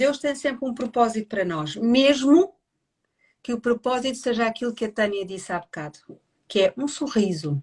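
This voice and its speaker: This woman's high voice moves through very wide pitch swings. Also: moderate pace. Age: 60s. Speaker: family constellations therapist. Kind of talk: casual livestream conversation. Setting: online live stream.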